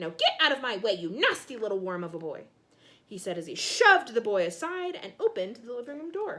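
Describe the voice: Simple, plain reading out loud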